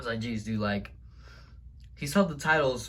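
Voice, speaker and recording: This man's tone is animated. He talks at a fairly quick pace. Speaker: wrestling video vlogger. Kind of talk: casual vlog recap. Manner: stuttering.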